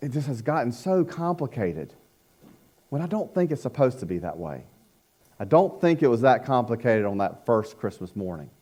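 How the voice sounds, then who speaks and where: A man with a medium pitch and vocal fry talks at a fairly quick pace in a dark, mellow tone with very wide pitch swings, on a very clean recording with a silent background. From North Carolina. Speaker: pastor, former youth minister. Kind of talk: sermon. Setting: church.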